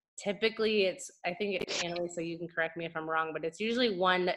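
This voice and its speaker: A woman talks fairly quickly in a fairly low register, her pitch moving in an ordinary way. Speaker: team coach leading meeting. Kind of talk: meeting announcements. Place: home room. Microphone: video call.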